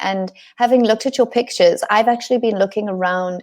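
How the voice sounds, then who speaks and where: A normal speaking voice with ordinary pitch variation keeps to a moderate pace. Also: woman. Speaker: interviewer, host. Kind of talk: interview host talk.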